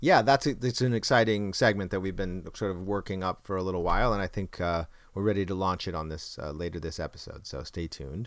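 The speech runs at a very fast pace with hardly any pauses and ordinary pitch variation, on a very clean recording with a silent background. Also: man, very deep, low pitch for a man. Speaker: podcast host and actor. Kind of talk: casual banter podcast. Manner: hesitant, chatty, jokey.

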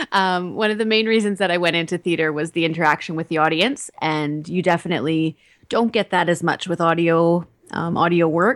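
Hers is a plain, everyday voice, a woman's, with ordinary pitch variation. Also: fairly low pitch for a woman, fairly quick pace, very clean recording, silent background. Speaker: actress. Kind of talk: interview.

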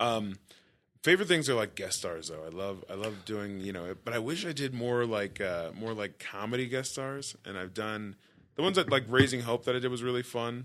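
An American accent marks this man's speech, delivered at a moderate pace with lively intonation. He has an unremarkable speaking voice at a medium pitch. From Texas. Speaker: former pro football player turned actor. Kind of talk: casual chat.

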